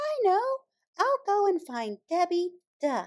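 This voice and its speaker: Putting on a character voice, a woman speaks at a fairly slow pace in an extremely high, squeaky pitch with very wide pitch swings. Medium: read story. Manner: gentle, sighing.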